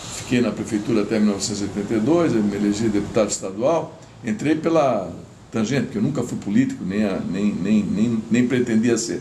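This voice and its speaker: Audible room echo surrounds a voice that moves at a fairly quick pace with ordinary pitch variation. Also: man. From Santa Catarina coast, southern Brazil (Itajaí). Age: 70s. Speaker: retired engineer and former politician. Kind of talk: interview, personal history. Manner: conversational, halting with self-corrections.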